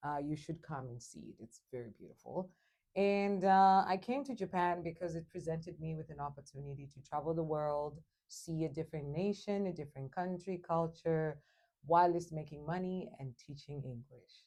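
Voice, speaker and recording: Speaking at a moderate pace with a Zimbabwean accent, this dark, mellow voice shows ordinary pitch variation and big swings in loudness over a quiet background. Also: woman, fairly low pitch for a woman. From Zimbabwe, Matabeleland then Shona. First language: Shona. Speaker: English teacher. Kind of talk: interview.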